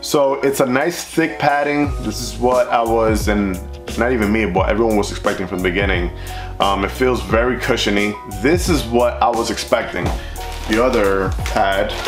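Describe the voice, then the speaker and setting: With clear music in the background, a man with a fairly low pitch speaks at a moderate pace. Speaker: motorcycle vlogger. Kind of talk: casual product review vlog. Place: garage.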